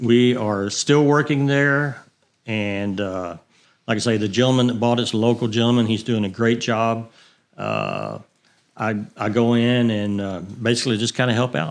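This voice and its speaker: Over a quiet background, someone with a Texan accent speaks at a moderate pace with fairly even intonation. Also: man, medium pitch for a man. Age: 60s. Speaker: retired racer and fuel supplier. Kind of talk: casual interview. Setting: studio.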